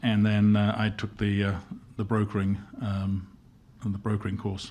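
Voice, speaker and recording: Long, frequent pauses break up a man's fairly low-pitched speech. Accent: English. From London, England. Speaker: insurance executive. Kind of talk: interview podcast.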